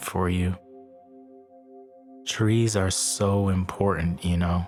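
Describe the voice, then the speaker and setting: A man's calm, fairly low voice, very slow and monotone, with music in the background. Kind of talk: sleep story meditation narration. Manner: calm, slow, relaxing.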